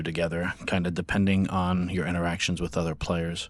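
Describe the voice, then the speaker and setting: Music plays behind a man with a very deep, low voice. He speaks in a flat monotone at a fairly quick pace. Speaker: gaming streamer. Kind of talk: game review talk to camera.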